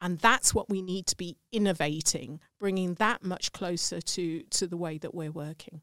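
In a British accent, a woman speaks with a fairly low pitch and ordinary pitch variation. Her pace is moderate, and the sound is dry and close with no echo. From England. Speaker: sales expert and entrepreneur.

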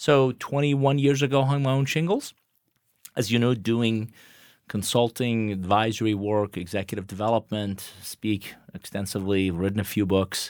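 With a Persian accent, a man at a medium pitch speaks at a moderate pace with ordinary pitch variation, on a very clean recording with a silent background. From Iran, then Atlanta from teens. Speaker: business consultant. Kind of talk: interview.

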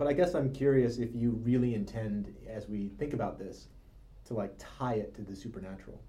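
Dark, mellow, somewhat breathy tone with ordinary pitch variation. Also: man. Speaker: brain researcher and meditator. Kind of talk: casual chat.

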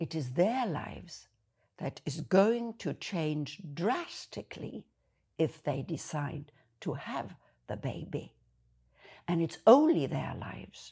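The voice has a dark, mellow tone and is somewhat breathy, with very wide pitch swings. It moves at a very slow pace with long, frequent pauses. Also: woman, fairly low pitch for a woman, very clean recording, silent background. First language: German. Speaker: video blogger. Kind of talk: monologue to camera.

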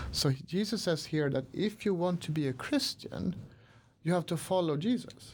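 Someone with a Swedish accent talks at a moderate pace on a very clean recording with a silent background. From Sweden, Stockholm. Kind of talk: interview. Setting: studio. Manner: hesitant, many fillers.

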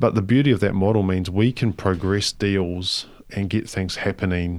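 The speech moves at a fairly quick pace with ordinary pitch variation. The recording is very clean, with a silent background. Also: man. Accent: New Zealand. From New Zealand, Palmerston North. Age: 40s. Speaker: charity foundation chief executive. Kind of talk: interview. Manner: casual, with many fillers.

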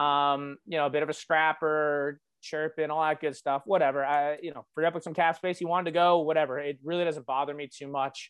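The speech runs at a fairly quick pace, monotone and flat, with hardly any pauses. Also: man, fairly high pitch for a man. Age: 20s. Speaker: hockey podcast co-host. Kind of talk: casual chat.

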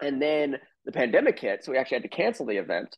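Talking at a very fast pace, a man with a fairly high voice keeps his intonation lively. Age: 20s. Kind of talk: casual interview chat.

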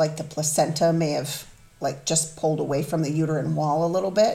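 A woman speaks in a very deep, low voice that is somewhat breathy. Her tone is dark and mellow, and her intonation is monotone and flat. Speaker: mother of the hosts, guest. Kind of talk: personal testimony, emotional interview. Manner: open, vulnerable.

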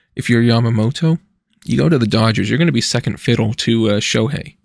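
A man with an unremarkable speaking voice, medium pitch and lively intonation, going at a fairly quick pace over a very clean recording with a silent background. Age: 20s. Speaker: sports podcast host. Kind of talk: solo casual commentary.

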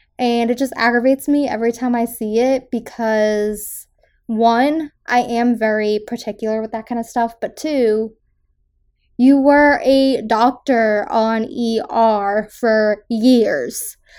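A woman with an American accent and a fairly high pitch speaks at a very slow pace with fairly even intonation, in a very clean recording with a silent background. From Massachusetts South Shore. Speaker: podcast host. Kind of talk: solo film review podcast. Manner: casual with filler words.

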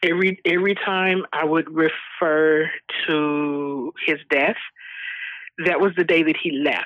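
An ordinary speaking voice: a woman with an American accent, fairly low pitch, fairly even intonation, very even loudness and a fairly slow pace. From Texas. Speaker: bereaved mother, charity founder. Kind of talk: interview testimony. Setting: remote call.

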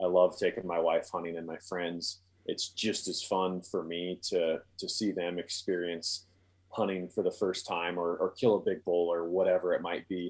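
A man with an American accent at a moderate pace, in a very clean recording with a silent background. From Montana. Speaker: bowhunter and video producer. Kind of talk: casual chat.

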